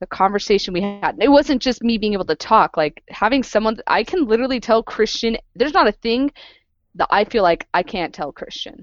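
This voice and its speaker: A woman speaks in an ordinary speaking voice at a moderate pace. Her intonation is lively. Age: 30s. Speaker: podcast host. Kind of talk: casual chat. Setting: video call.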